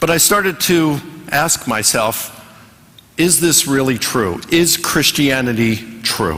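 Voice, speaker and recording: A man's fairly high voice, fairly slow with long, frequent pauses, lively intonation, very even loudness, and noticeable background noise. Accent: American. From US Mid-Atlantic, Baltimore, Maryland. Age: 60s. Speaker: professor of theology, speaker. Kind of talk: lecture with consecutive interpretation. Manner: short phrases with pauses for interpreter.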